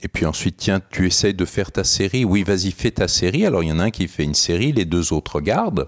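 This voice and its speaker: A man's very deep, low pitch in a dry, close sound with no echo, on a very clean recording with a silent background. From France. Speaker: geriatric doctor and researcher. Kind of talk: interview, explanatory.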